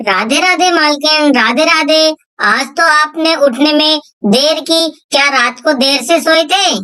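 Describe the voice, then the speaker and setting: A cartoonish character voice, high in pitch, at a moderate pace. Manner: polite, respectful.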